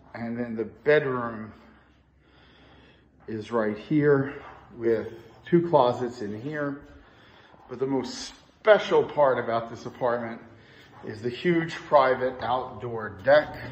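Slowed to a very slow pace with long, frequent pauses, a somewhat breathy man speaks with ordinary pitch variation and big swings in loudness, and audible room echo fills the space. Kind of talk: apartment tour narration. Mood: upbeat sales tone. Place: home room. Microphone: phone near.

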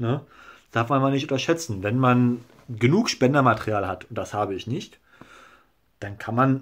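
A man's lively intonation at a moderate pace, over a quiet background. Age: 20s. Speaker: YouTuber documenting his hair transplant; vlogger sharing a hair transplant result. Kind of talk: casual video blog; casual vlog chat. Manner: hesitant, filler-heavy. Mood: calm, satisfied. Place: home room. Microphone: phone near.

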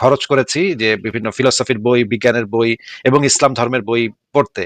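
An ordinary speaking voice with fairly even intonation, dry and close with no echo. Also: man. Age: 40s. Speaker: live show host taking callers. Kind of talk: live call-in discussion.

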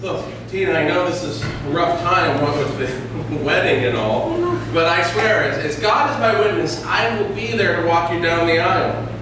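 Moderate pace from a man, with strong room echo and noticeable background noise. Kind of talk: comedic sketch performance. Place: stage.

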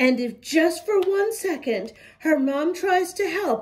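Spoken at a slow pace with lively intonation, the voice has a slightly mellow tone and audible room echo. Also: woman, extremely high pitch for a woman.

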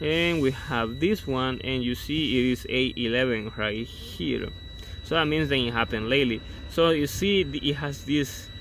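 A dry sound with no echo carries speech at a moderate pace with ordinary pitch variation, over light background noise. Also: man. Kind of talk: tutorial. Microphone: phone near.

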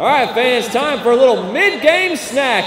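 An extremely high-pitched male voice with an energetic, upbeat tone, ordinary pitch variation and a moderate pace, over noticeable background noise. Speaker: public address announcer. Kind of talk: hyped-up crowd-engaging PA announcement. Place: stadium.

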